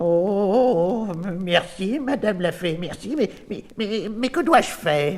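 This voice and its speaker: In a put-on character voice, a man speaks at a high pitch over light background noise. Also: fairly slow pace. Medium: audio drama. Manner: stammering, flustered.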